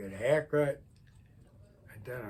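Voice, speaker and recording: The voice is somewhat breathy, with ordinary pitch variation. It moves at a moderate pace. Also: man. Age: 80s+. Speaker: retired car enthusiast video blogger. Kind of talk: casual monologue vlog. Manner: rambling conversational.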